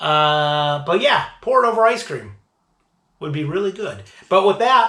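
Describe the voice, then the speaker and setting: A man uses a raised, projected voice with a high pitch and a bright, sharp tone. He talks at a fairly slow pace with lively intonation. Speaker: beer reviewer, show host. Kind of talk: casual tasting review. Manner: hesitant, with fillers.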